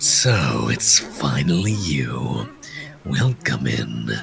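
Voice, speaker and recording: A man's put-on character voice, very deep and low and raspy, at a very slow pace over clear background music. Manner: menacing, welcoming.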